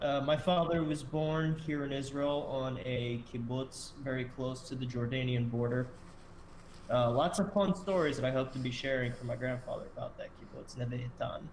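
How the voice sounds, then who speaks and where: A man with an American accent speaks at a moderate pace, medium pitch and ordinary pitch variation. Audible room echo and noticeable background noise fill the recording. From US, Delaware. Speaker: podcast host. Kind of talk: casual chat.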